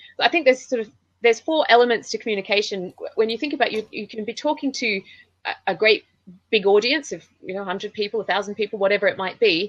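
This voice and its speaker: In a dry, close recording with no echo, a woman talks at a very fast pace, with lively intonation and big swings in loudness. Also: fairly high pitch for a woman. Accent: Australian. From Australia. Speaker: public speaking trainer. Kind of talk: interview.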